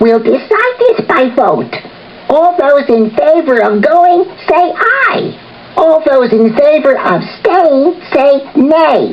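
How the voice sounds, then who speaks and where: A put-on character voice, high in pitch and very slow, over clear background noise. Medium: read story. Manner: officious.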